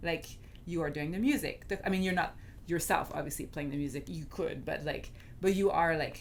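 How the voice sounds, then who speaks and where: Someone with a French Canadian accent and vocal fry talks at a fairly quick pace with ordinary pitch variation, with audible room echo. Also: woman, fairly low pitch for a woman. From Quebec, Canada. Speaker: film director. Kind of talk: casual chat.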